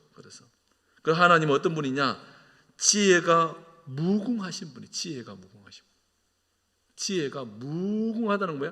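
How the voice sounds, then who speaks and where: A man's fairly high voice with a bright, sharp tone and lively intonation. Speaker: senior pastor. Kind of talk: sermon.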